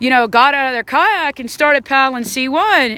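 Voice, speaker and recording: A woman's raised, projected, animated voice in a Southern US accent, high-pitched and at a moderate pace over noticeable background noise. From Alabama, Huntsville. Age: 40s. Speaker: whitewater canoe athlete. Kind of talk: casual talk to camera. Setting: outdoors by a river.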